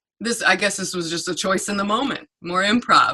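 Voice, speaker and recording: With an American accent, a woman speaks in a plain, everyday voice at medium pitch, moderate pace and ordinary pitch variation. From North Carolina. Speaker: stand-up comedian. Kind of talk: casual interview.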